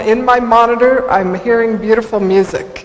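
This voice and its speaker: A woman speaks at a moderate pace with a fairly high pitch and ordinary pitch variation. Audible room echo and noticeable background noise come through. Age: 60s. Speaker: motivational speaker. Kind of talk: conference talk.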